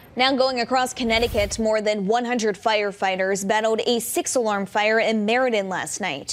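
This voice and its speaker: A plain, everyday voice from a woman, fairly high in pitch with ordinary pitch variation, at a moderate pace with hardly any pauses. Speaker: television news reporter and anchor. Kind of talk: broadcast TV news reporting. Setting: on-location field report / studio news read.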